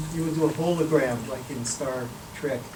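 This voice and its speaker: A man's fairly high-pitched voice at a moderate pace, ordinary pitch variation, audible room echo and noticeable background noise. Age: 70s. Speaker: professor. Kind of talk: Q&A after a lecture.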